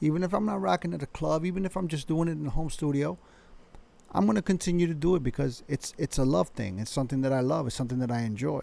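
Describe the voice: A man with a dark, mellow tone and vocal fry talks fast at a fairly high pitch with ordinary pitch variation.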